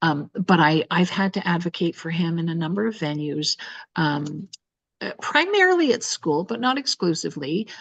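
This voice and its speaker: Using an ordinary speaking voice, a woman speaks at a fairly low pitch and a moderate pace, in a dry, close sound with no echo against a quiet background. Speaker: adoptive parent on panel. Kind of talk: panel discussion.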